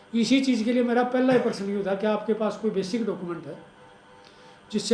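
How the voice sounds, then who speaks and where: With music in the background and audible room echo, a man with a high pitch talks at a moderate pace with ordinary pitch variation. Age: 60s. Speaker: interviewer. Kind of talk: interview discussion.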